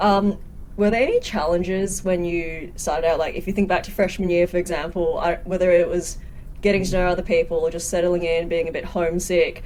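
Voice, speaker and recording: Speaking fairly quickly with an Australian accent, a woman keeps a fairly low pitch and a flat, monotone intonation. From Australia, Sydney. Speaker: podcast host, nurse. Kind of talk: casual interview.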